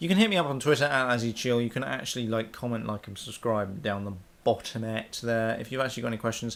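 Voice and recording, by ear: A man talks at a fast pace with vocal fry. His tone is fairly bright. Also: medium pitch for a man, ordinary pitch variation.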